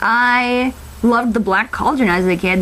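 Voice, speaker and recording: A woman speaks with ordinary pitch variation. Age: 20s. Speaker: college student video reviewer. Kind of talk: casual movie review vlog. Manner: halting, many fillers and restarts; animated.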